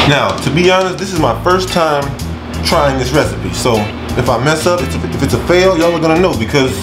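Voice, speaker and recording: Clear music plays behind the speaker. He is a man talking at a fairly quick pace. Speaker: cooking vlogger. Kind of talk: casual vlog chat. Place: kitchen. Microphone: camera far.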